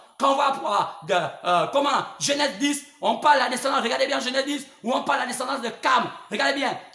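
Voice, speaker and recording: An extremely high-pitched man's voice, fairly quick, with ordinary pitch variation, audible room echo and noticeable background noise. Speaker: preacher. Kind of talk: sermon. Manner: halting, with many repetitions; spontaneous, not calm.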